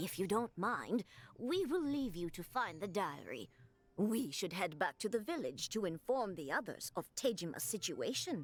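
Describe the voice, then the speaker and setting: This is a put-on character voice that sounds female, at a medium pitch. The pace is moderate, and the recording is very clean with a silent background. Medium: video game. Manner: polite, formal.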